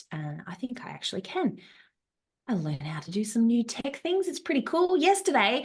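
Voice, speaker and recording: Talking at a very fast pace, a woman with an Australian accent sounds animated, her pitch swinging very widely. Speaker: travel business coach and founder. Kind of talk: live online workshop. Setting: Zoom video call.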